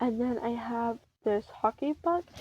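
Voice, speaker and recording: Soft-spoken, the woman sounds dry and close, with no echo. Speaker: content creator. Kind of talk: casual chat. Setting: home bedroom. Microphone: phone recording.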